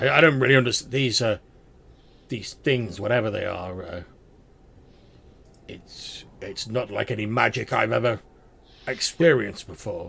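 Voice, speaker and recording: Fairly slow delivery in a put-on character voice with a raspy edge. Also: man. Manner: rambunctious.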